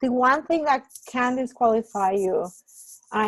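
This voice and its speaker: The speaker has a Spanish accent and ordinary pitch variation at a moderate pace. The sound is dry and close, with no echo. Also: woman. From Puerto Rico. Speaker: graduate program director. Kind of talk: information session Q&A.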